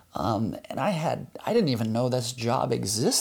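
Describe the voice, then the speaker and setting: A plain, everyday voice with an American accent. It moves along at a moderate pace. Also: man. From US. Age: 30s. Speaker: construction consultant and surfer. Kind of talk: interview. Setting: at his home.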